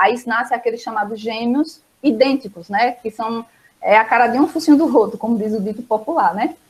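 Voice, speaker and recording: A woman with a fairly high pitch. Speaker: biology teacher. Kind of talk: online lesson. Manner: fast.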